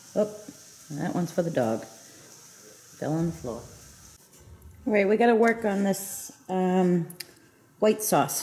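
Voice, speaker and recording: A soft-spoken woman talks very slowly at medium pitch, with long, frequent pauses. Her intonation is lively. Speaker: home cooking vlogger. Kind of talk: cooking tutorial. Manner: casual.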